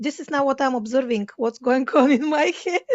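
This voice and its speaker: Here a woman talks at a fairly quick pace in a high pitch. She has a Bulgarian accent and lively intonation. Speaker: podcast host, spiritual coach. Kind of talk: casual interview chat. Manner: halting.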